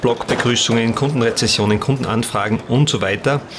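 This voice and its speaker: A man talks at a moderate pace and medium pitch, his intonation fairly even. Noticeable noise sits in the background. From Austria, Salzkammergut. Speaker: multimedia artist and podcast creator. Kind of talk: behind-the-scenes interview. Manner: hesitant, many fillers and repetitions.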